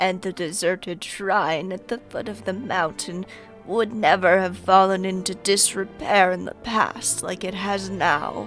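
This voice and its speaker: A female-sounding, put-on character voice at a medium pitch for a woman speaks at a moderate pace over clear music in the background. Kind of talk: video game fan dub. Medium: dub.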